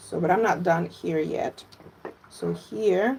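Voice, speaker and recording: A woman is speaking. She has a Russian accent. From Latvia, Russian-speaking. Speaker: fermentation educator. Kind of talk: live cooking tutorial. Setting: livestream from home. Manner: animated.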